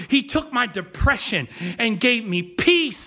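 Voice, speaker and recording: A man's high-pitched, raised, projected voice with an animated tone. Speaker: pastor. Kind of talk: sermon. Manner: fast, clipped words when excited.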